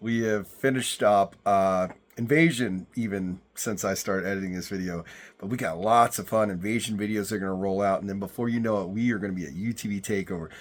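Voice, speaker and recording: A man with a fairly low voice talks at a very fast pace with ordinary pitch variation. The recording is very clean, with a silent background. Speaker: offroad vlogger. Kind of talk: casual vlog talk to camera. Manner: casual, chatty.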